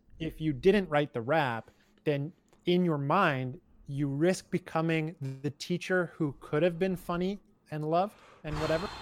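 A man speaks at a moderate pace in a fairly high, calm voice with ordinary pitch variation. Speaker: podcast co-host and new father. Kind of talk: casual chat podcast. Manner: articulate, calm.

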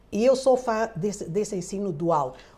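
A woman with lively intonation. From Angola. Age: 60s. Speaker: retired journalist. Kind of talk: interview conversation. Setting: at her home.

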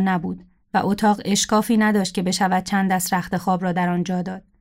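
Delivered at a very fast pace in a monotone, flat intonation, the speech is on a very clean recording with a silent background. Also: woman. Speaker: writer. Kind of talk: reading aloud.

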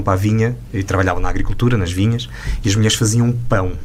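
Noticeable background noise runs through the clip. Over it, a man speaks at a very fast pace. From Portugal, Douro region. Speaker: radio host. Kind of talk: interview.

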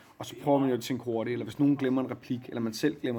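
His tone is dark and mellow. The man's delivery stays monotone and flat. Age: 30s. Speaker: stage actor. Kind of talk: casual backstage interview. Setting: theatre dressing room.

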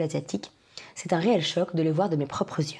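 This voice carries a dark, mellow tone. Its delivery runs at a fairly quick speed. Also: woman. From France.

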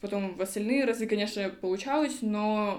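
With a normal speaking voice, a woman speaks at a fairly high pitch and with ordinary pitch variation. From Kazakhstan, Almaty. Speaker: podcast host, queer activist. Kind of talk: casual chat. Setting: studio, face to face.

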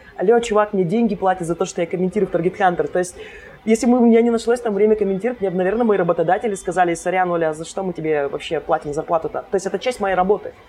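A woman speaks at a very fast pace with a medium pitch. Noticeable background noise can be heard. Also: ordinary pitch variation. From Karelia, Russia (Kostomuksha). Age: 30s. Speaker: social media marketer. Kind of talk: casual interview. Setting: bar.

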